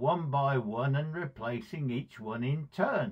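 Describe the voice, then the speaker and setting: A man at a very slow pace with lively intonation, over a quiet background. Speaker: speaker. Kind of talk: devotional talk with personal story. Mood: warm, fond storytelling. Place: home room. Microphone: phone near.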